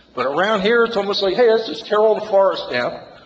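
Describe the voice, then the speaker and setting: A man speaks very fast in a high voice with ordinary pitch variation. Background noise is noticeable. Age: 60s. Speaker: resident speaking at public comment. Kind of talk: public comment at town meeting. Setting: township committee meeting room. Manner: emotional, halting with repetitions.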